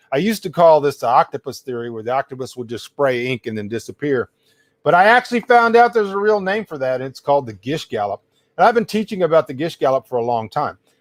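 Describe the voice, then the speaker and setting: A man talks at a very fast pace in an American accent, his pitch fairly high. His pitch swings very widely and his loudness varies a lot, on a very clean recording with a silent background. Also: dry, close sound with no echo. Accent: Texas accent, at times. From US South. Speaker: livestream host and writer. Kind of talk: live-stream rant and lecture. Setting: solo live stream with audience chat. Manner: casual, many fillers (uh, um).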